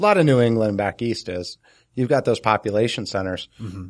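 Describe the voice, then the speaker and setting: A man speaks at a fairly quick pace with a fairly low pitch. The background is quiet. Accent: New Jersey. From New Jersey. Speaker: podcast co-host, homesteader. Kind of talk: casual chat.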